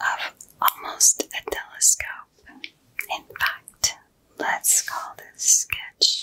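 Very slow whispering from a woman. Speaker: content creator. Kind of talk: soft-spoken roleplay-style tutorial chat. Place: home room.

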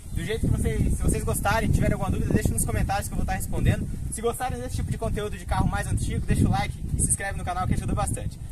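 A man speaks at a very fast pace over loud background noise, the sound dry with no echo. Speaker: car video host. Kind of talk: casual vlog chat. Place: street. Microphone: camera far.

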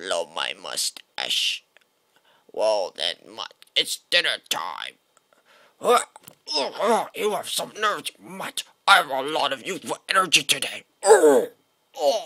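Using a put-on character voice, a man speaks at a high pitch and a fairly slow pace with long, frequent pauses. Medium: dub.

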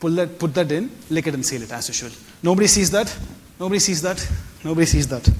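A man with a high-pitched voice speaks at a very fast pace, his pitch varying in an ordinary way. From South India, Chennai. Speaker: stage magician / mentalist; event host. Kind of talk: stage magic performance. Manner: animated. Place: stage. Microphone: lapel.

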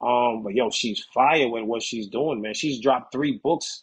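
With a New York accent, a man talks at a moderate pace with ordinary pitch variation. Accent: New York City. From New York City, the Bronx. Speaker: author and poet; poet. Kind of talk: interview. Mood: relaxed, conversational, enthusiastic. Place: home room. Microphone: video call.

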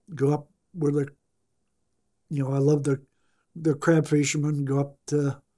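A man with an American accent speaks at a moderate pace with a fairly high pitch, a dark, mellow tone and a somewhat breathy quality. His intonation is monotone and flat, with long, frequent pauses against a quiet background. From US Midwest (Ottumwa, Iowa); Iowa. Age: 70s. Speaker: retiree interviewed for life story; interviewee. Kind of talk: interview; interview answer. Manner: halting, with many repetitions. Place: studio.

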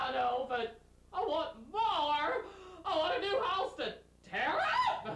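A man's put-on character voice, extremely high-pitched, fairly slow with long, frequent pauses and slight echo

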